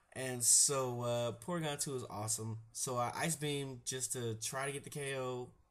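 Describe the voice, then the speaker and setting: A man's somewhat breathy voice sits at a medium pitch. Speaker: gaming commentator. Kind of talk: casual game commentary. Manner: casual, relaxed.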